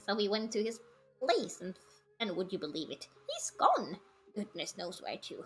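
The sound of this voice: In a put-on character voice, a female-sounding voice at medium pitch keeps a moderate pace with long, frequent pauses.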